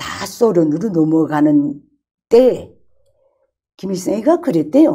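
The voice is dark and mellow in tone, with very wide pitch swings. The pace is very slow, with long, frequent pauses against a quiet background. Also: woman. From North Korea. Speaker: former North Korean journalist, defector. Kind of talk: casual chat. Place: studio. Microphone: lapel.

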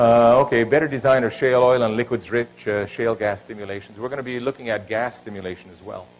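This man's delivery is very fast. The intonation is fairly even throughout. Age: 60s. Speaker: engineering professor. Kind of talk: lecture. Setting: stage with audience. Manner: loud. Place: hall.

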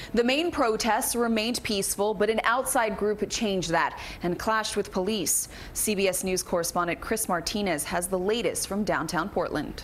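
A woman's medium-pitched voice at a moderate pace, with ordinary pitch variation and very even loudness, over light background noise. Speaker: news anchor. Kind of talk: news reading, anchor intro. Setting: studio. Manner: formal, even, authoritative. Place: studio.

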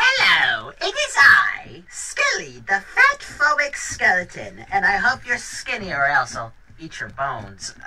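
A female-sounding voice shouts in a put-on character voice. The pace is fairly slow. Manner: mock-menacing, flippant.

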